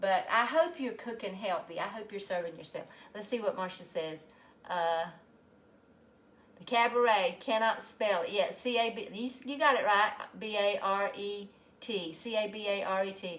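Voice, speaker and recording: With a Southern US accent, a woman speaks at medium pitch. Her pace is moderate and her pitch varies in an ordinary way. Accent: Southern US (Georgia). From US South, Georgia. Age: 60s. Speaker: health coach and physical therapist. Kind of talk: casual live cooking stream.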